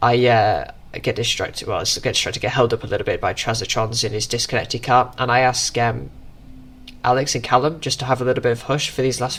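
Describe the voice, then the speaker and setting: A man with a British accent talks at a fairly quick pace and a medium pitch. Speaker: sim racing gamer commentating own race. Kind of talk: race commentary voiceover. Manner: casual, hesitant with fillers.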